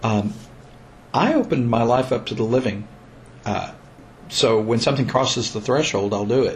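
A man's medium-pitched, somewhat breathy voice at a moderate pace, fairly even in intonation, with long, frequent pauses. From Missouri, US. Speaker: bluegrass musician and teacher. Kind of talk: casual interview conversation.

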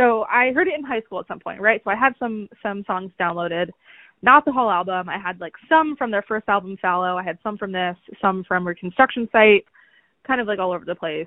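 Talking at a fairly quick pace, a woman has an ordinary speaking voice. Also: medium pitch for a woman, ordinary pitch variation. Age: 30s. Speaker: podcast host. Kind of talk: casual chat.

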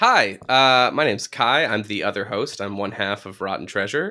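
A man speaks at a moderate pace with a bright, sharp tone, a fairly low pitch and ordinary pitch variation. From New Hampshire. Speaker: podcast host. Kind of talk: casual chat. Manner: animated.

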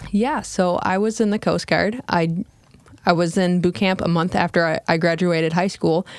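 An ordinary speaking voice with an American accent moves at a moderate pace, its intonation fairly even and its loudness very even. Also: woman, fairly low pitch for a woman. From US Midwest, small-town Michigan. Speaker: cricket farm co-founder, Coast Guard veteran. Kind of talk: casual interview. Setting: studio.

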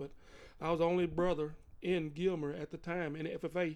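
A man speaks in an American accent at a fairly high pitch. His intonation stays monotone and flat. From East Texas. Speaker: podcast host's father, retired youth coach. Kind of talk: casual interview.

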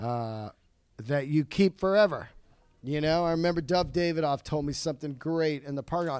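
Captured in a very clean recording with a silent background, an unremarkable speaking voice proceeds at a moderate pace with ordinary pitch variation. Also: man, fairly high pitch for a man. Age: 50s. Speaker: stand-up comedian. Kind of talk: casual chat.

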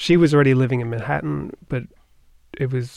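A man with a New York accent and medium pitch, talking very fast with ordinary pitch variation. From Long Island, New York (Nassau County). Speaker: orchestra board president, cellist. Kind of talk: interview conversation.

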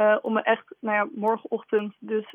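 This is a woman's voice. Her pitch is fairly high. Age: 20s. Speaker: writer. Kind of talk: radio interview. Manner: hesitant, many fillers.

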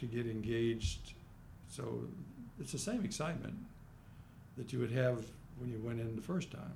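A man with an American accent speaks at a moderate pace in a medium pitch, his dark, mellow tone somewhat breathy, with ordinary pitch variation and long, frequent pauses. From US Midwest, Kansas City. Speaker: retired lawyer and foundation founder. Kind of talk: interview. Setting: studio. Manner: halting, many fillers.

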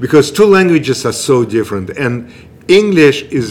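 A man's lively intonation in a Russian accent, with noticeable background noise. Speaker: improv comedian. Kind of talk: casual chat.

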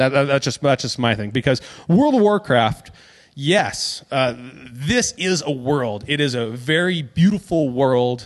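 Speaking fairly slowly in a normal speaking voice, a man uses a fairly high pitch and lively intonation against a quiet background. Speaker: podcast host and magician. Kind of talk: casual chat.

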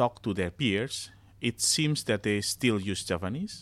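At a fairly slow pace, a man with an Indonesian accent speaks in a fairly low pitch, captured in a very clean recording with a silent background. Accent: Javanese-accented English. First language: Javanese. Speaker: academic. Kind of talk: interview discussion. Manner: halting.

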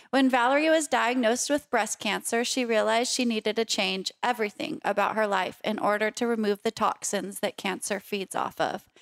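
A woman speaks at a fairly quick pace in a fairly high pitch with ordinary pitch variation and very even loudness, a normal speaking voice, recorded very cleanly against a silent background with a dry, close sound and no echo. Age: 30s. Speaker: podcast host and cancer survivor. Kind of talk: interview.

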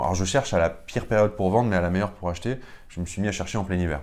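This man has a plain, everyday voice, pitched fairly low, with ordinary pitch variation. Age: 30s. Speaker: real estate investor. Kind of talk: interview.

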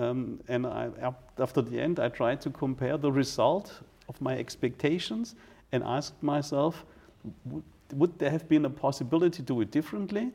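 A man with a German accent speaks at a fairly high pitch with vocal fry and ordinary pitch variation. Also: moderate pace. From Germany. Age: 40s. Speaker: fire chief. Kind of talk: interview. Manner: halting.

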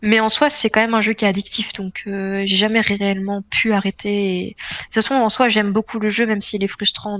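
A woman speaks fairly quickly at medium pitch with monotone, flat intonation, the sound dry and close with no echo. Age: 20s. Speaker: semi-professional esports player. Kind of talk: casual interview.

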